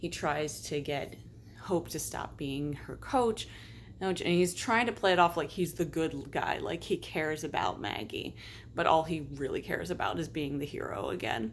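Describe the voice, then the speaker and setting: With lively intonation and vocal fry, a woman speaks at a moderate pace in a very deep, low pitch. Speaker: film commentary vlogger. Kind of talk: casual monologue.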